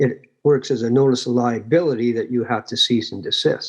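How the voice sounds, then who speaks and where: With a Canadian accent, a man speaks at a moderate pace in a medium pitch, using a plain, everyday voice. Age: 60s. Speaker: local chapter leader. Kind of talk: interview on a live online show.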